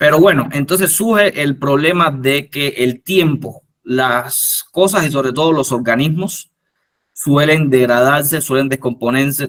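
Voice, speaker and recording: Pitched fairly high, a man speaks at a fairly slow pace with ordinary pitch variation. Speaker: entomologist giving a workshop talk. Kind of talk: lecture. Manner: halting, many fillers and restarts.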